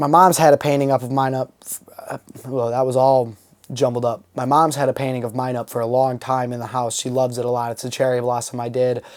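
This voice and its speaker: Very fast speech from a man at medium pitch. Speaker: podcast host. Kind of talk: solo casual podcast talk. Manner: loud and enthusiastic, trying to tone down; hesitant, many filler ums.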